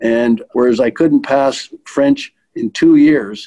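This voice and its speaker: A man speaks in a Manitoban accent at a medium pitch. His tone is dark and mellow, his intonation monotone and flat. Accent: Canadian (Manitoba). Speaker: retired bank executive. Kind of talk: interview reminiscence. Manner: halting with repetitions.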